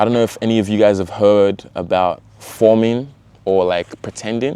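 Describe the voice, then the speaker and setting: With an Australian accent, a man talks at a moderate pace using fairly even intonation. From Australia, Sydney. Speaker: vlogger. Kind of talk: casual vlog talk. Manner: casual, filler-heavy.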